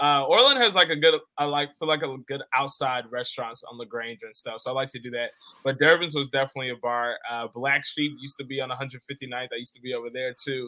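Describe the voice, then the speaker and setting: Speaking at a fairly quick pace with hardly any pauses, a man with a medium-pitched, bright, sharp tone keeps his intonation fairly even while his loudness swings widely. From Chicago south suburbs. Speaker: radio producer and stadium host. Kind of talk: interview.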